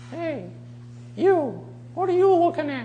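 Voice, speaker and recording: At a fairly slow pace, someone performs a put-on character voice over clear background noise. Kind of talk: different from the performer's normal tone. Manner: gruff, cranky.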